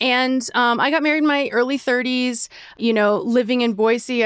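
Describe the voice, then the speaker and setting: An unremarkable speaking voice, a woman at a moderate pace with fairly even intonation. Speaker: dog owner. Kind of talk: casual chat.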